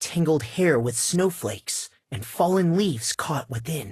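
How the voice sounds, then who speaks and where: A man's put-on character voice, fairly high-pitched, with very wide pitch swings and a moderate pace. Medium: video game. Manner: observant, cutting.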